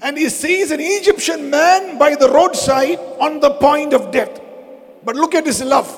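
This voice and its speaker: A man's extremely high-pitched voice at a fairly slow pace with ordinary pitch variation, over noticeable background noise. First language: Malayalam. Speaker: pastor. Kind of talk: sermon. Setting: church service.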